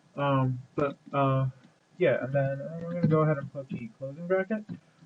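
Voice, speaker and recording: A man's voice sits fairly high and sounds somewhat breathy. He keeps a moderate pace with ordinary pitch variation. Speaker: programming tutorial maker. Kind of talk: tutorial. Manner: many fillers and repetitions.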